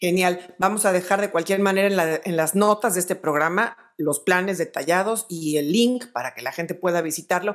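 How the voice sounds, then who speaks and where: In a plain, everyday voice, a woman of medium pitch speaks at a moderate pace with ordinary pitch variation and hardly any pauses. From Mexico. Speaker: podcast host interviewing music industry figures. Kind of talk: interview.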